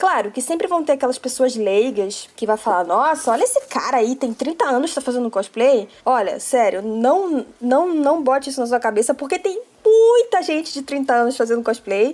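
A woman talks at a moderate pace with hardly any pauses. Her pitch is high. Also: lively intonation. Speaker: cosplayer. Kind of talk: podcast interview.

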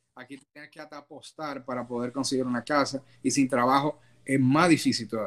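Delivered at a moderate pace, the voice stays monotone and flat in intonation while its loudness swings widely. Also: man, medium pitch for a man. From Dominican Republic. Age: 30s. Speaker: immigrant, business administrator. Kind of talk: interview. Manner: hesitant, many fillers.

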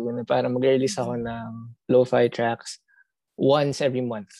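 A man speaks at a moderate pace in a dark, mellow tone, recorded with a dry, close sound and no echo. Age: young. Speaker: indie music artist. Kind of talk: casual chat. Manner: halting, stuttering.

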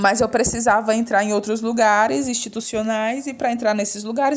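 A very clean recording of a woman's voice against a silent background. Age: 30s. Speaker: theatre director and teacher. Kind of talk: interview testimony. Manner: talkative.

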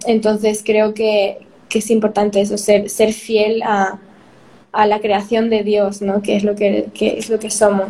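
Her pitch is fairly high for a woman. She speaks at a fairly slow pace. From Spain (Madrid), born in Peru. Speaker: youtuber. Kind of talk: interview.

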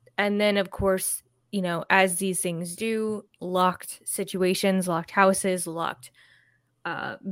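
In a very clean recording with a silent background, a woman speaks in a plain, everyday voice at a medium pitch, with fairly even intonation and a fairly slow pace. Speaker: podcast host. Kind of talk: casual chat.

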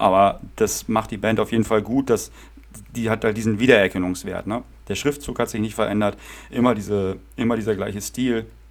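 The voice carries vocal fry, with fairly even intonation at a fairly quick pace. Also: man, fairly low pitch for a man. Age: 30s. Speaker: podcast host and punk drummer. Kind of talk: casual chat.

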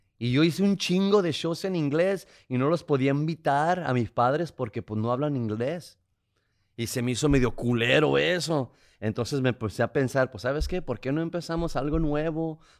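A man speaks in a normal speaking voice, fairly high in pitch with ordinary pitch variation, at a moderate pace in a very clean recording with a silent background. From Tijuana, Mexico (border). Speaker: comedian and podcast co-host. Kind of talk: casual chat.

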